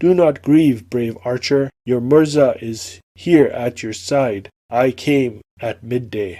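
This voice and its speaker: In a very clean recording with a silent background, a man puts on a character voice at medium pitch and a fairly slow pace. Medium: read story. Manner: gentle, reassuring.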